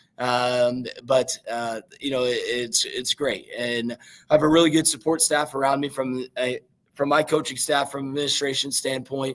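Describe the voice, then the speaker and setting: Using a Midwestern American accent, a man speaks at a fairly high pitch in a monotone, flat way. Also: moderate pace. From southeastern Indiana. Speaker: high school football coach. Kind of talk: interview. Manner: halting, many fillers.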